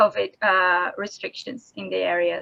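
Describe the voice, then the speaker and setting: A woman with a non-native accent talks in a bright, sharp tone. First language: not English. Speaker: conference presenter, reef researcher. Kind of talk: conference talk and Q&A. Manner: halting, many fillers.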